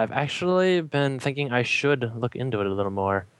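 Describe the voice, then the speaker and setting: Here a man talks at a fairly quick pace with an American accent. His pitch sits in the medium range. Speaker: fan podcast guest. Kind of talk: casual chat.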